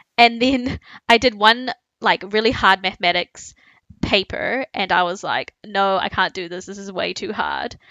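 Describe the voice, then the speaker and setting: Her intonation fairly even, a woman with a normal speaking voice talks at a medium pitch. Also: moderate pace, big swings in loudness. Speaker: podcast co-host. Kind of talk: casual chat.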